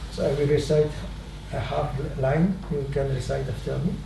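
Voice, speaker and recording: Amid noticeable background noise and audible room echo, a man with a non-native accent talks at a fairly slow pace. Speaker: swami, spiritual teacher. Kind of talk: spiritual talk, storytelling. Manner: halting, many fillers.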